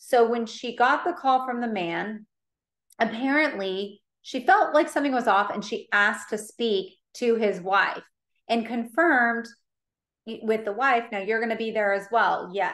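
A woman with a plain, everyday voice talks rather slowly, her pitch fairly high and varying in an ordinary way. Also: quiet background. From Colorado. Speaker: real estate agent and safety instructor; safety instructor. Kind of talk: webinar presentation. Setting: online webinar. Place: home room. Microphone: video call.

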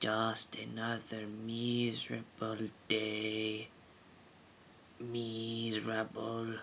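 Using a cartoonish character voice, a man speaks at a very slow pace with a medium pitch, taking long, frequent pauses over clear background noise. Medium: puppet.

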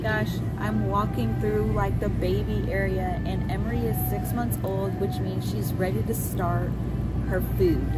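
Loud background noise runs through the clip. A woman speaks at a fairly slow pace. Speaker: mother vlogger. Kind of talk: casual vlog chat. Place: shop. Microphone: phone near.

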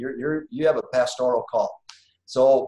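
The speaker has an American accent and talks at a moderate pace. The background is quiet, with audible room echo. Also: man. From Wisconsin, US Midwest. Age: 50s. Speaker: business owner and guest speaker; guest. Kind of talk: personal testimony in online class. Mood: calm, reflective. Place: home room. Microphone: video call.

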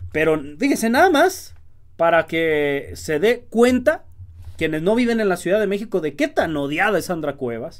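A man talks in a high voice with an animated tone. The background is quiet. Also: lively intonation, moderate pace. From Mexico. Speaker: political commentary youtuber. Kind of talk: political commentary monologue. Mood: indignant, sarcastic. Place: home room.

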